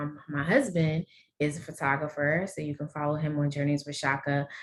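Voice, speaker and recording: A woman with a New Orleans accent speaks at a very deep, low pitch. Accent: heavy New Orleans. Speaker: endometriosis advocate and guest. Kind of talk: panel discussion introduction.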